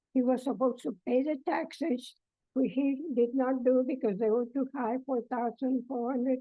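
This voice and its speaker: A woman's high voice with fairly even intonation, at a fairly slow pace. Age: 80s+. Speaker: plaintiff in small claims court. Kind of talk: courtroom testimony. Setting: courtroom. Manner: halting.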